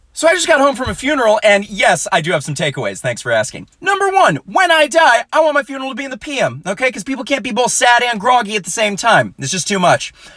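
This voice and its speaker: A man speaks in a raised, projected voice at an extremely high pitch, with very wide pitch swings. He goes at a very fast pace with hardly any pauses, and music plays in the background. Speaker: comedian. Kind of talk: stand-up. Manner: clear enunciation.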